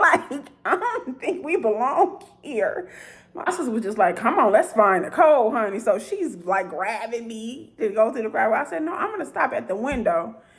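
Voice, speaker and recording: A woman's high, animated voice with very wide pitch swings, a moderate pace and hardly any pauses, over noticeable background noise. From Chicago, west side. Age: 40s. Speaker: vlogger. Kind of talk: storytelling monologue.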